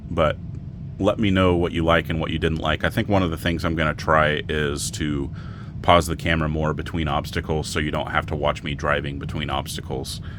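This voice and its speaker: Against noticeable background noise, a man speaks in a monotone, flat way at a very deep, low pitch. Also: fairly quick pace. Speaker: RC crawler YouTuber. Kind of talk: casual vlog talk to camera. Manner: rambling, hesitant with fillers.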